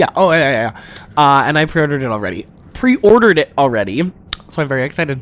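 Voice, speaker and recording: The speaker mumbles at a very fast pace in an animated tone. Noticeable background noise sits behind the voice. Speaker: drag performer and podcast co-host. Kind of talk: casual chat. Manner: mumbling.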